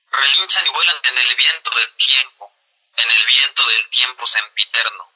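A man speaks fairly slowly with very even loudness. The sound is dry and close, with no echo. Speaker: poet. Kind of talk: poetry reading.

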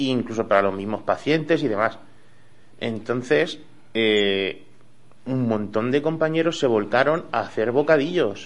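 A man talks at a fairly slow pace with long, frequent pauses. His medium-pitched voice has lively intonation. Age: young. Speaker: bar owner. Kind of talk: radio interview.

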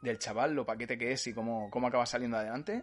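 A man is speaking. Music plays in the background. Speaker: podcast host. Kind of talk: casual chat. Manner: animated.

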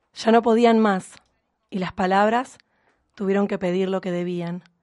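Over a quiet background, a woman speaks fairly slowly at a medium pitch, her tone dark and mellow and her intonation fairly even. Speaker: radio host. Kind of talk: scripted narration; casual chat.

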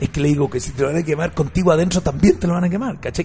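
A man at a fairly high pitch, very fast and animated, with ordinary pitch variation. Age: 50s. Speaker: radio host. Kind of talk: talk radio debate.

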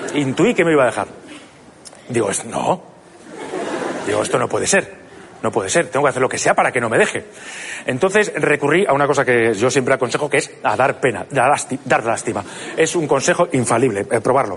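Over noticeable background noise, a man at medium pitch talks at a fairly quick pace with lively intonation and long, frequent pauses. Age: 30s. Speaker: comedian. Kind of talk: stand-up. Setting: stage with audience. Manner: halting.

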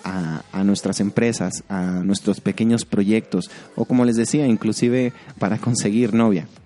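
A man at medium pitch with a dry, close sound and no echo, plus noticeable background noise. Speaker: podcast host, creative director. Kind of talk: solo educational talk.

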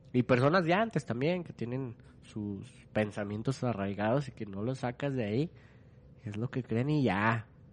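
A man with a Mexican accent, medium pitch, ordinary pitch variation and a moderate pace. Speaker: podcast host. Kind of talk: casual chat.

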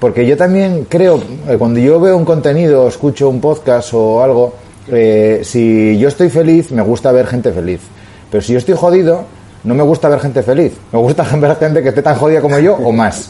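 A man with a normal speaking voice, fairly high pitch, lively intonation, very even loudness and a moderate pace. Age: 30s. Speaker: podcast co-host, amateur cyclist. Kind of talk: casual chat.

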